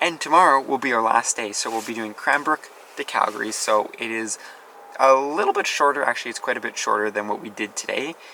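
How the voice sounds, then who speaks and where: At a fairly quick pace, a man speaks at a medium pitch over noticeable background noise. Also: ordinary pitch variation. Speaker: travel vlogger. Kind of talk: casual vlog narration. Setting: outdoors at campsite by river.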